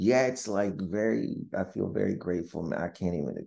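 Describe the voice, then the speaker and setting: A man with a very deep, low pitch and vocal fry speaks at a fairly slow pace in a dark, mellow tone, his pitch swinging very widely. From Windsor, Ontario, Canada. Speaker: stand-up comedian and actor. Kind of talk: casual interview.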